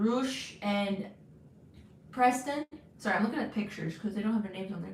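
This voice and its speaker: Speaking at a fairly quick pace, a woman with a medium pitch and ordinary pitch variation leaves long, frequent pauses. Audible room echo and noticeable background noise accompany her. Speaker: wrestling livestream host. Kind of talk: live watch-along chat. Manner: loud when wearing headphones; halting, many restarts.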